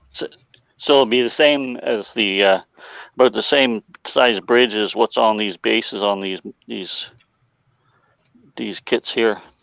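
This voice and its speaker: A man with an Ontario accent speaks at a fairly low pitch and fairly slow pace, with ordinary pitch variation and long, frequent pauses. The sound is dry and close with no echo, over a quiet background. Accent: Canadian (Ontario). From Ontario, Canada. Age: 60s. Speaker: model railroad hobbyist. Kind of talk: casual chat.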